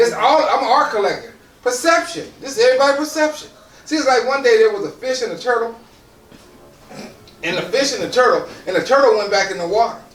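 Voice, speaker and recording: A man speaks at a very fast pace in an extremely high pitch, with lively intonation. Noticeable background noise and audible room echo surround his voice. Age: 60s. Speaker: motivational speaker. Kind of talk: motivational talk to audience. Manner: repeats words, some halting starts.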